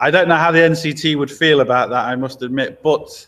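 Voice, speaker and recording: Here a man speaks with an English accent. His pace is fairly quick and his intonation fairly even. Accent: English accent, commented on by viewers. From England, Lincoln. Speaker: mechanic and channel host. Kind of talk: live stream chat answering viewer questions. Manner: casual, chatty.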